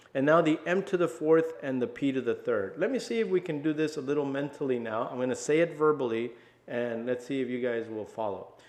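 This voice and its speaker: Against a quiet background, a man talks at a fairly quick pace. He has a plain, everyday voice, fairly high in pitch. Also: lively intonation. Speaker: math teacher. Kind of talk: tutorial. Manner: casual.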